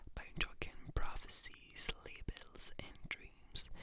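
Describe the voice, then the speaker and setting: Whispering at a very slow pace, a woman speaks. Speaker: ASMR creator. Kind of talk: whispered ASMR reading of a play. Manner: whispered, soft, slow.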